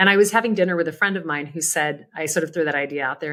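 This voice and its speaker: A woman speaks in an unremarkable speaking voice, fairly low in pitch. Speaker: charity auctioneer, agency founder, keynote speaker, author. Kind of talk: podcast interview answer. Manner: conversational, reflective.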